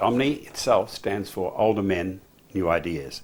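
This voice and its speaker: A man's fairly low-pitched voice in an Australian accent. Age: 70s. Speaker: men's group member. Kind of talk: interview.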